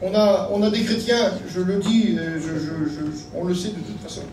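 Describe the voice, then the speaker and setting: A man talks in a high voice with ordinary pitch variation. Room echo is audible, and background noise is noticeable. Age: 60s. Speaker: pastor. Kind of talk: sermon.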